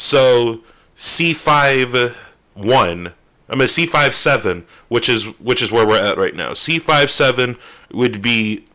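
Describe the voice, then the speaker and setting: In a very clean recording with a silent background, a man speaks loudly and very slowly, his medium-pitched voice bright and sharp with ordinary pitch variation. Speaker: music producer streamer. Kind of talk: tutorial. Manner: casual, loose. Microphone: very close to the microphone.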